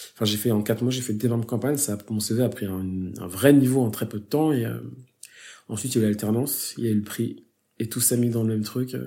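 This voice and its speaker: Speaking very fast, a man uses a medium pitch and a dark, mellow tone with fairly even intonation. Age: 30s. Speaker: advertising creative director and teacher. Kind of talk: casual interview chat.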